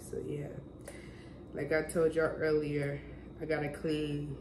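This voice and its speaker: With audible room echo and noticeable background noise, a woman speaks at a very deep, low pitch. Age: 20s. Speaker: vlogger. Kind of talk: casual vlog.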